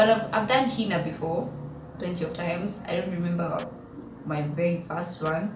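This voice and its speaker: A woman with a Kenyan accent, fairly low in pitch, with ordinary pitch variation at a moderate pace, amid noticeable background noise and audible room echo. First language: Kikuyu. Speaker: YouTuber. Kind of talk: casual vlog chat.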